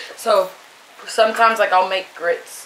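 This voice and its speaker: Someone speaks with an American accent over noticeable background noise. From New York. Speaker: mukbang vlogger. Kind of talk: casual eating vlog talk. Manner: casual, filler-heavy.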